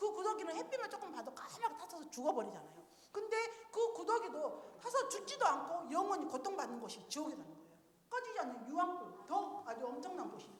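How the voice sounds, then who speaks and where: A woman speaks at a very fast clip in an extremely high pitch, her tone animated and her pitch swinging very widely. Her loudness jumps around a lot, and the room echo is audible. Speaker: church deaconess teaching evangelism. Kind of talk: seminar talk demonstrating evangelism. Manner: animated, interactive.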